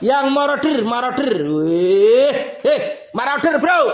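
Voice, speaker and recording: Audible room echo surrounds a man's speaking voice. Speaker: airgun shop seller. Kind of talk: pitchman sales patter rattling off slashed promo prices. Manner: excitable, gleeful repetitive cheering like hore re re re. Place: shop. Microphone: phone near.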